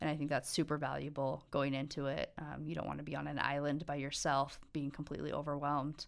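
A woman speaks very fast in a very deep, low voice with an American accent. Her intonation is monotone and flat, with vocal fry. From Montana. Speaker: university accounting licensure advisor. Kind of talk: casual interview.

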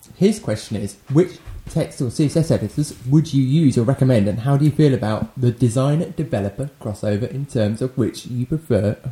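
A man's dark, mellow voice, somewhat breathy, with lively intonation and hardly any pauses. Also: medium pitch for a man, moderate pace. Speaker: podcast co-host. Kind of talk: casual banter among friends.

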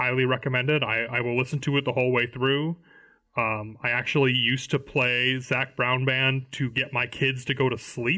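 Here a man with an American accent talks at a moderate pace and medium pitch. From US Midwest (Illinois). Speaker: Magic: the Gathering content group member. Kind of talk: casual chat.

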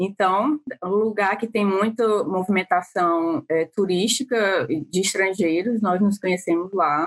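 A woman at medium pitch, fairly slow, with hardly any pauses, very even loudness and ordinary pitch variation. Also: dry, close sound with no echo. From Ceará, Brazil. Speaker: marketing manager, former nurse. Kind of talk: interview. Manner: halting.

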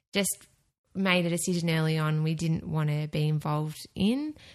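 Against a quiet background, a woman with an Australian accent speaks at a moderate pace. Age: 30s. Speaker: podcast network producer. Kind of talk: casual chat.

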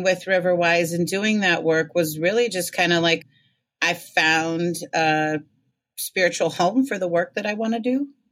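A woman talks at a fairly slow pace in a normal speaking voice with an American accent. Her pitch is fairly low, with ordinary pitch variation. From Michigan (Ann Arbor). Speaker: community organizer and magazine editor. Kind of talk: casual interview conversation.

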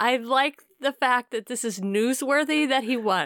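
Raised and projected, a woman's high voice moves at a fairly slow pace with ordinary pitch variation, sounding dry and close with no echo on a very clean recording with a silent background. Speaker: podcast host. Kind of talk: casual chat.

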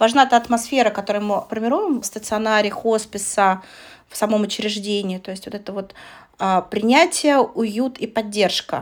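In an ordinary speaking voice, a woman with a fairly high pitch talks at a moderate pace with ordinary pitch variation and big swings in loudness, in a very clean recording with a silent background. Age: 30s. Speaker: podcast co-host, hospice coordinator. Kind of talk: casual chat.

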